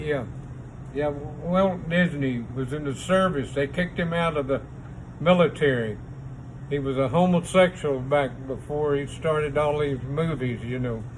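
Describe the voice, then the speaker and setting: With noticeable background noise, a man speaks at a fairly slow pace. His fairly high voice keeps a fairly even intonation. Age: old. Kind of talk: interview answer. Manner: hesitant, rambling.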